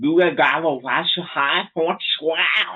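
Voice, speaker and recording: A man puts on a character voice with a high pitch. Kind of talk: comic vocal impression. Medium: solo performance. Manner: repetitive, wordless, droning.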